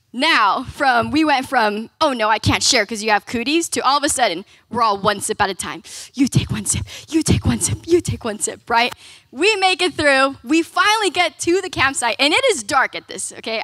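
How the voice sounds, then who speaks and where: A woman speaks in a raised, projected voice with a bright, sharp tone. Her pace is moderate, and the background is quiet. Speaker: speaker. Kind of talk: sermon storytelling. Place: hall. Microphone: handheld.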